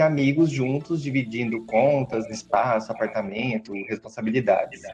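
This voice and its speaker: A man's pitch varies in an ordinary way as he talks fairly quickly, with noticeable background noise behind him. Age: 30s. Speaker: podcast guest. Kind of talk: casual chat.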